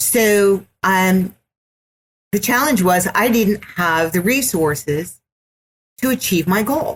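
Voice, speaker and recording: A woman speaks very slowly at medium pitch, with lively intonation and very even loudness. Her voice is somewhat breathy, and she leaves long, frequent pauses. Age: 60s. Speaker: business executive and entrepreneur. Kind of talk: podcast interview.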